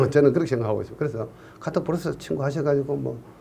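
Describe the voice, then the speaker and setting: Recorded with audible room echo, a man's somewhat breathy voice carries a dark, mellow tone. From Gyeongsang region, Korea. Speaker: civil engineering exam lecturer. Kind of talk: online lecture. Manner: casual, joking.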